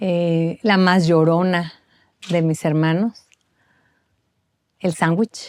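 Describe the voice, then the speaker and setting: A woman speaks very slowly with a fairly low pitch in a northern Mexican accent. Her intonation is monotone and flat, with long, frequent pauses. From northern Mexico. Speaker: bereaved mother and foundation founder. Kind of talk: testimony.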